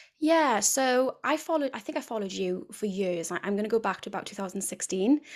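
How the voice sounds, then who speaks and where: A woman with a Welsh accent talks at a fairly quick pace in a fairly high pitch with lively intonation, captured in a very clean recording with a silent background. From South Wales, near Cardiff. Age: 30s. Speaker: women's health and fitness coach. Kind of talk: casual interview.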